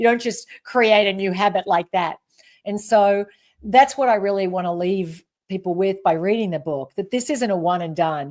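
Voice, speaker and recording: In an Australian accent, a woman speaks at a moderate pace. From rural Australia. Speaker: leadership expert and author. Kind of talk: interview.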